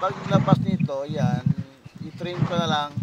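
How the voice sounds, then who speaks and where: A man talks in a fairly high pitch with ordinary pitch variation, and noticeable background noise can be heard. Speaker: graphic design instructor. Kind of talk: tutorial. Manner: soft-spoken. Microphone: quiet mic, level raised to 80 percent.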